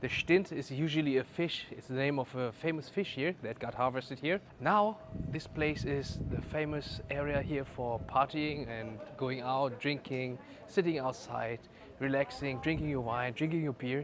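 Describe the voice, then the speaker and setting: A man speaks at a moderate pace in a fairly high pitch, with ordinary pitch variation. Noticeable background noise runs beneath him. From northern Germany, Lüneburg. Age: 40s. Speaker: vlogger and judoka. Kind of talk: travel vlog narration. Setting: outdoors walking through town.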